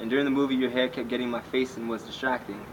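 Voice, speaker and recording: Monotone, flat delivery from a man at medium pitch, over noticeable background noise. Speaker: spoken word poet. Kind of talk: spoken word poetry performance.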